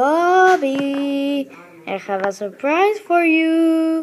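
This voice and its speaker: A woman puts on a character voice at an extremely high pitch, speaking at a very slow pace. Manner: yelling, menacing.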